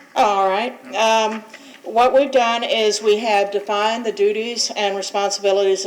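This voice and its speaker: A woman keeps her intonation fairly even while background noise stays noticeable. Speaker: board attorney. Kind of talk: public meeting briefing. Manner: loud.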